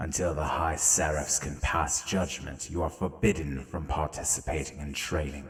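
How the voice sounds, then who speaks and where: A man performs in a put-on character voice. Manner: commanding, stern.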